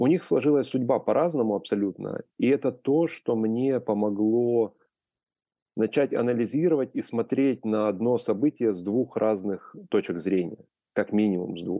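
In a quiet background, a man talks at a moderate pace in a dark, mellow tone, medium in pitch with ordinary variation, the sound dry and close with no echo. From Ukraine. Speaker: photographer, collector and publisher. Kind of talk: interview conversation.

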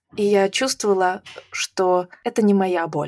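In an ordinary speaking voice, a woman talks at medium pitch and a fairly slow pace, with fairly even intonation and a dry, close sound with no echo. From Belarus. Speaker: IT event organizer. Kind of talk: interview conversation.

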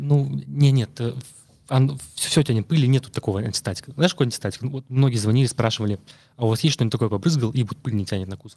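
A man with a medium-pitched, dark and mellow voice talks at a very fast pace, somewhat breathy, with lively intonation and big swings in loudness, on a very clean recording with a silent background. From Russia, Murmansk. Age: 30s. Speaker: detailing products consultant. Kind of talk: casual interview. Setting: studio.

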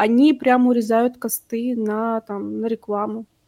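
Recorded very cleanly against a silent background, a woman with a fairly high pitch and a dark, mellow tone speaks at a fairly slow pace, the sound dry and close with no echo. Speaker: podcast host. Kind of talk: casual chat.

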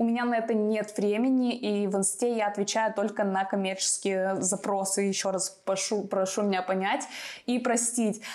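Medium-pitched speech from a woman, flat and monotone in intonation. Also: moderate pace. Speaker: YouTuber giving relocation advice. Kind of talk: Q&A advice video.

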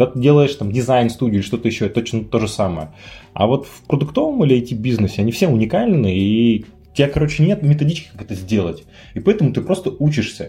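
With big swings in loudness, this voice has a dark, mellow tone, sounds somewhat breathy, and moves at a very fast pace. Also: man. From Yekaterinburg, Russia. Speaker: startup founder. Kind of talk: casual chat.

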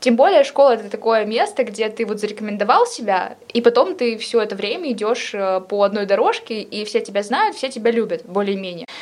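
A woman speaks at a fairly quick pace in a fairly high pitch with ordinary pitch variation. Noticeable background noise runs underneath. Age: 20s. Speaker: history student. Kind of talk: casual chat.

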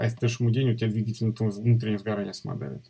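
Somewhat breathy, the man's voice rests at a medium pitch. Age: 40s. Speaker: motion designer and design teacher. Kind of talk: interview.

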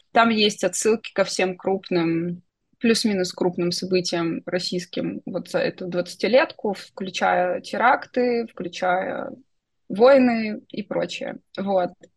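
A woman's somewhat breathy voice unfolds at a very slow pace. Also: medium pitch for a woman, ordinary pitch variation. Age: 30s. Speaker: science fiction writer and UX designer. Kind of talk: interview. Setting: internet call.

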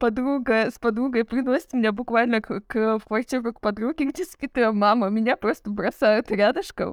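A woman speaks at a moderate pace with hardly any pauses, her fairly high pitch showing ordinary variation. Her loudness swings widely from moment to moment. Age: 30s. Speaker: podcast co-host. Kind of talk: casual chat. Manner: animated.

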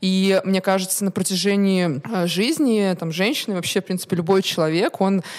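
A woman's unremarkable speaking voice at medium pitch and moderate pace. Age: 20s. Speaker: co-founder of a resale platform. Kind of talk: interview.

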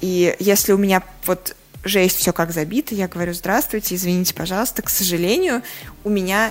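There is noticeable background noise behind this woman. She talks at a moderate pace with a medium pitch. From Russia, Saratov. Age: 30s. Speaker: magazine editor and journalist. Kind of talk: interview.

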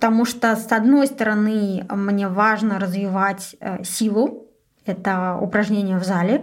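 A woman speaks at a medium pitch and a very slow pace. Her intonation stays fairly even. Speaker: podcast host, agency manager. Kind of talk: solo podcast monologue.

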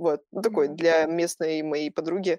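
A woman's dark, mellow tone comes through a dry, close sound with no echo on a very clean recording with a silent background. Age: 20s. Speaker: photographer. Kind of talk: interview. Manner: casual.

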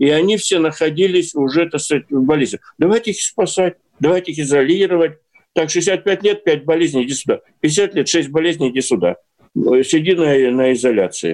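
A man talks at a fairly high pitch with ordinary pitch variation. He keeps a moderate pace. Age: 60s. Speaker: newspaper editor-in-chief. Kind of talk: casual chat. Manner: animated.

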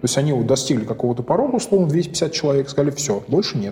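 There is noticeable background noise behind a man talking at medium pitch. He speaks at a very fast pace. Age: 40s. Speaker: chief technology officer. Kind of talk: interview.

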